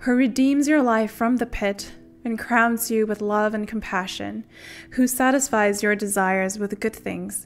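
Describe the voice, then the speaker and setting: Faint music plays in the background as a woman speaks. Her pace is fairly slow and her intonation fairly even. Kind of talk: scripture reading and welcome. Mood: warm, festive. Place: home room. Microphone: studio mic.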